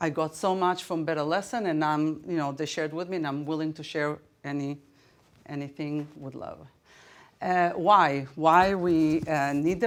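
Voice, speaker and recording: In an Israeli accent, a woman speaks at a moderate pace. Her voice is very deep and low, and the recording is very clean with a silent background. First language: Hebrew. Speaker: teacher. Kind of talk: conference presentation. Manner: halting, many fillers.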